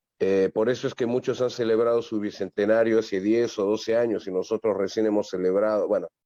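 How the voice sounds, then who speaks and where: A man with a fairly low, dark and mellow voice speaks at a fairly quick pace with monotone, flat intonation, very even loudness and hardly any pauses, against a quiet background. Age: 60s. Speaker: comedian. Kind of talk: interview. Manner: halting.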